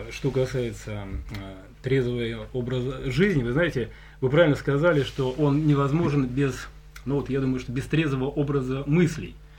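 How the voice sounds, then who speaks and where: A man speaks at medium pitch and a moderate pace, somewhat breathy, with fairly even intonation. Long, frequent pauses break up his speech. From Leningrad region, Russia. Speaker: folk singer. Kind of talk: casual chat. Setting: studio.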